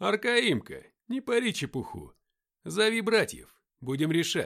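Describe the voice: A man uses a put-on character voice, high-pitched and fairly bright in tone, with very wide pitch swings and vocal fry. He speaks at a fairly slow pace on a very clean recording with a silent background.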